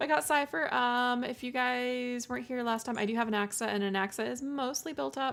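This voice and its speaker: A woman is speaking with ordinary pitch variation. Music plays in the background. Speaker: VTuber game streamer. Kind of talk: casual game stream chat. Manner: halting, stuttering.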